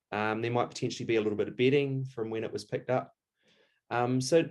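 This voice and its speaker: A man speaks with a New Zealand accent against a quiet background. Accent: Kiwi. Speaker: taxidermist. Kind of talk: tutorial.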